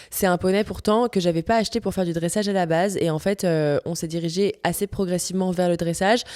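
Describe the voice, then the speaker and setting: Speaking in a Parisian accent, a woman runs at a very fast pace with hardly any pauses, medium pitch, and fairly even intonation. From France, Paris. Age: 20s. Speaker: podcast host, equestrian rider. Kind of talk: casual monologue podcast. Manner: casual, with many fillers (euh).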